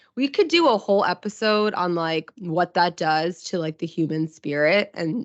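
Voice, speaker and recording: A woman's fairly low voice at a moderate pace, with ordinary pitch variation and hardly any pauses. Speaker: podcast co-host. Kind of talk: casual podcast chat. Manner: subdued.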